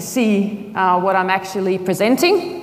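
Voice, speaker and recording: A woman with an Australian accent, amid audible room echo and noticeable background noise. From Australia, outback. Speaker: agile consultant, conference speaker. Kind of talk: conference talk. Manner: fast.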